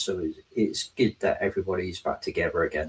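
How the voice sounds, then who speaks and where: With a southwest English accent, a man speaks at a fairly quick pace. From southwest England. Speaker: technology advocate and trainer. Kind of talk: interview.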